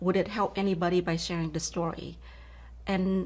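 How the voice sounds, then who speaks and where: Somewhat breathy and fairly low in pitch, a woman's voice comes at a moderate pace. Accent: Vietnamese. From Vietnam. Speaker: keynote speaker and author. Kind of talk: interview.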